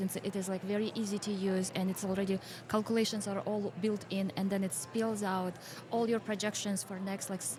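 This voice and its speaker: A somewhat breathy woman's voice with a Kyrgyz accent, medium pitch, a fairly quick pace and monotone, flat intonation. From Kyrgyzstan. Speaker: financial educator and podcast host. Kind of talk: casual interview chat. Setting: podcast booth at a conference.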